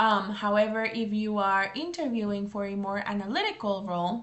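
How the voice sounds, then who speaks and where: A woman speaks at a moderate pace in a normal speaking voice with a fairly high pitch. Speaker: English teacher. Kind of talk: tutorial.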